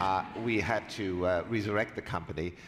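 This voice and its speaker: A man with a German accent speaks in a fairly low pitch at a moderate pace. The recording is very clean, with a silent background. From Germany. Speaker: company executive. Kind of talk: onstage interview.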